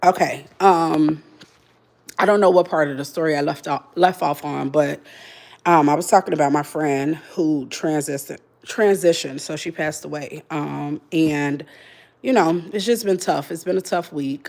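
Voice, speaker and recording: A woman with a very deep, low voice speaks at a moderate pace with ordinary pitch variation. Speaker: livestreamer, political commentator. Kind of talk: casual livestream chat. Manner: loud.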